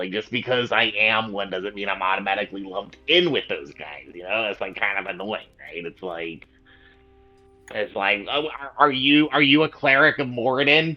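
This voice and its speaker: Faint music plays in the background as a man does a put-on character voice at a fairly low pitch and a moderate pace. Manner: dim, slow-witted.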